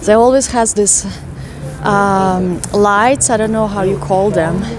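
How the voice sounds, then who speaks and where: In a Russian accent, a woman speaks very slowly at medium pitch with fairly even intonation. There is audible room echo and noticeable background noise. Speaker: walking tour vlogger. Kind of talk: live stream walking tour chat. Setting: outdoors, walking city streets.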